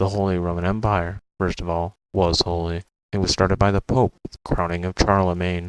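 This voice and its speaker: A man with a very deep, low pitch talks at a moderate pace in a monotone, flat way, the sound dry and close with no echo. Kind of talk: history explainer narration. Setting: home recording, poor audio. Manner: pauses at times.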